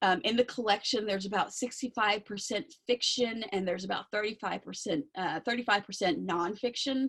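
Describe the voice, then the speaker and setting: Talking at a fairly quick pace with hardly any pauses, a woman shows ordinary pitch variation. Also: fairly high pitch for a woman. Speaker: outreach coordinator for a talking book program. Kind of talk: presentation. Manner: fast.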